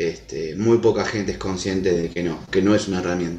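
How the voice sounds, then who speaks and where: A man with a Rioplatense accent, fairly low in pitch, with fairly even intonation and a very fast pace. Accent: Argentine Rioplatense Spanish. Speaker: dog and horse trainer. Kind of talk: interview conversation.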